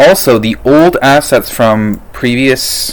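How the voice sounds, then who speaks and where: Lively intonation runs through a man's unremarkable speaking voice, pitched at a medium level. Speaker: game programming student. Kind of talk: tutorial.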